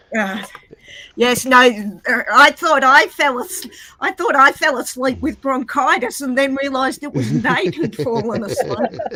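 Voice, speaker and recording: A woman with an Australian accent uses a raised, projected voice at a high pitch, with lively intonation and a fairly slow pace. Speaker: guest joining an online call. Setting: online voice call.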